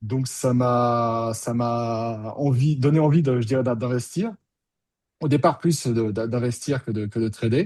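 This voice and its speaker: Here a man talks at a very slow pace. His pitch is medium and varies in an ordinary way. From France, Bordeaux. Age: 50s. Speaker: options trader, former student. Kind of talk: testimony interview. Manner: conversational, some hesitations.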